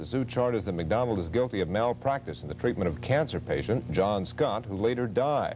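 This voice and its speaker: A man with an American accent at a fairly quick pace, medium in pitch, with lively intonation and vocal fry. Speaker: television news anchor. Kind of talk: television news anchor read. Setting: 1970s broadcast recording.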